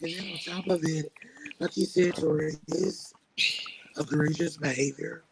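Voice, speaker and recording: Speaking in a monotone, flat intonation, a man with a fairly high pitch leaves long, frequent pauses. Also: moderate pace. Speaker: podcast co-host. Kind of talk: casual chat.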